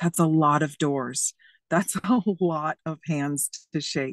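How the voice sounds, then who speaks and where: Over a quiet background, a woman with a very deep, low pitch speaks at a very slow pace. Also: dry, close sound with no echo. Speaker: county legislature candidate. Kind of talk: candidate forum discussion. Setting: video call. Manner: animated.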